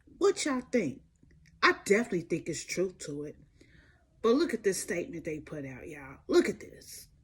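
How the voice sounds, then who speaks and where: A woman's somewhat breathy voice moves through very wide pitch swings. Her loudness also swings widely. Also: medium pitch for a woman, moderate pace. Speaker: celebrity gossip commentator. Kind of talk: casual gossip commentary. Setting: home recording at night. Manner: whispering.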